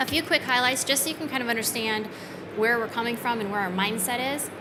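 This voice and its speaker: A woman with a fairly high voice speaks in a room with audible echo and noticeable background noise. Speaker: software company retail director. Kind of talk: conference presentation.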